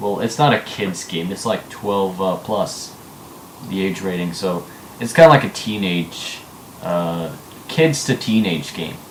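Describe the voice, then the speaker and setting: A man with a very deep, low pitch speaks at a fairly slow pace with lively intonation. Noticeable noise sits in the background. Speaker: gaming video host. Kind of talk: casual chat.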